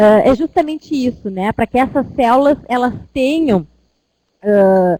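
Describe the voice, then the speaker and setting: A woman speaks in a high voice with lively intonation and long, frequent pauses. The sound is dry and close with no echo. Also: fairly slow pace. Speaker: university lecturer. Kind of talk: online lecture. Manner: hesitant.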